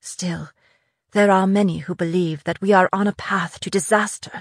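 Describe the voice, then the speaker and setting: A woman uses a put-on character voice that sounds shaky, pitched at a medium level. She keeps a moderate pace against a quiet background. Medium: read story. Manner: courtly, formal.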